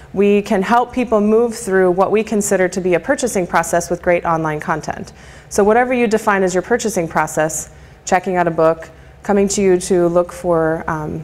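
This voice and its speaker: A woman at medium pitch with ordinary pitch variation, at a fairly quick pace, amid noticeable background noise. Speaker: marketing and communications speaker. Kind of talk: lecture presentation. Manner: fast.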